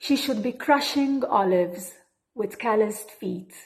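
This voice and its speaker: A woman speaks with a Maltese accent. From Malta. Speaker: poet. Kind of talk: poetry reading.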